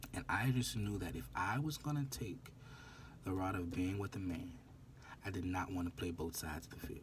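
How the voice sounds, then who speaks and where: A man with a very deep, low pitch and vocal fry talks at a moderate pace with lively intonation, and audible room echo surrounds him. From New Orleans, US South. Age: 20s. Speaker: vlogger. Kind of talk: casual monologue vlog.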